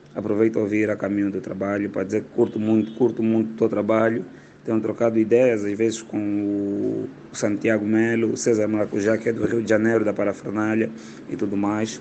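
This man has an Angolan accent and a fairly low pitch. His intonation is monotone and flat. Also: fairly quick pace. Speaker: comedian. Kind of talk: voice message.

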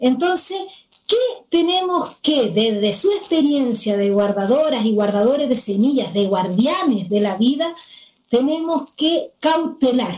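The speaker goes at a fairly slow pace with very wide pitch swings. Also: woman. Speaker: constitutional assembly candidate and moderator. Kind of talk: moderated panel discussion. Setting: video call.

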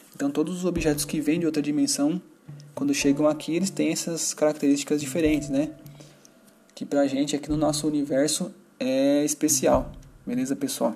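With music in the background, a man talks at a moderate pace with a fairly high pitch, fairly even intonation and long, frequent pauses. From Brazil, São Paulo. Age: 30s. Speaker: gaming podcast host. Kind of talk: casual solo podcast talk.

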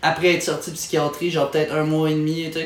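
Noticeable background noise runs through the clip. The room echo is audible. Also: man. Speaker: stand-up comedian. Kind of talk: casual chat. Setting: at his home.

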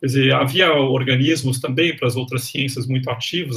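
Over noticeable background noise, a man speaks at medium pitch and a moderate pace. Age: 50s. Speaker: history professor. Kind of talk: interview.

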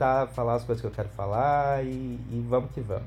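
Against background music, a man speaks at a moderate pace. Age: 30s. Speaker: podcast host. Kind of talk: casual chat.

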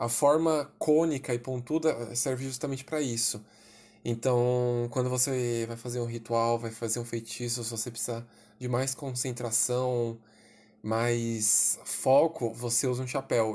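This man speaks at a medium pitch and a fairly slow pace. His intonation stays monotone and flat. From Brazil, São Paulo city. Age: 20s. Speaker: writer and witchcraft enthusiast. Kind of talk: casual interview.

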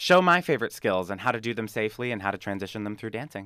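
A man talks in a fairly low voice with a bright, sharp tone. The recording is very clean with a silent background. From Canada, Greater Toronto Area. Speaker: circus acrobat and dancer. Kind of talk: interview.

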